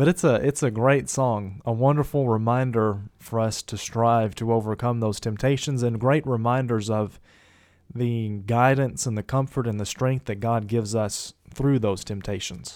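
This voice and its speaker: Heard on a very clean recording with a silent background, a man uses an ordinary speaking voice at a medium pitch, with ordinary pitch variation and a moderate pace. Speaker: co-host of a Bible discussion podcast. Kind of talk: casual Bible study discussion.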